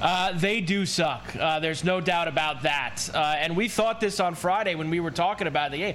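With hardly any pauses, a man talks at a moderate pace in a high pitch with ordinary pitch variation, and noticeable background noise can be heard. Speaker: co-host.

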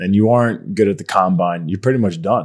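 This man speaks at a fairly quick pace with an American accent and a fairly low pitch. The recording is very clean, with a silent background. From Long Island, New York. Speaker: podcast host. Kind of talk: interview.

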